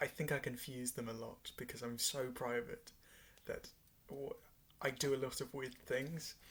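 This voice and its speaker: The voice is quiet and monotone, with flat intonation. Long pauses come often. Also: man, medium pitch for a man. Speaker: vlogger. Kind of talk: casual monologue. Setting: at home in bedroom at night. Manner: slow-paced.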